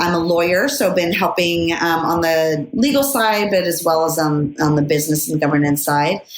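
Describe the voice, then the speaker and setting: A woman's fairly low voice at a moderate pace, with lively intonation. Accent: Californian. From US, Los Angeles suburbs. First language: Spanish. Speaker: lawyer, board director and author. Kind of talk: podcast interview. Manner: many fillers (um, uh).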